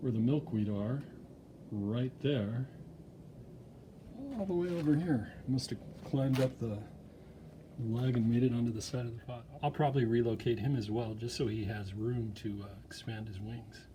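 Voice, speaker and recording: A man speaks at a medium pitch and moderate pace, with ordinary pitch variation. Long, frequent pauses break up his speech amid audible room echo. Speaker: hobbyist video maker. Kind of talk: casual vlog narration. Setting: outdoors in backyard. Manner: hesitant, many fillers; speaking softly.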